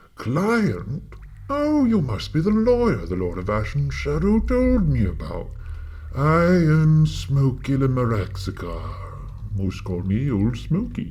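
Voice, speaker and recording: A man performs a put-on character voice at a fairly slow pace. Clear background noise is present. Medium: audio drama. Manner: courteous, old-fashioned.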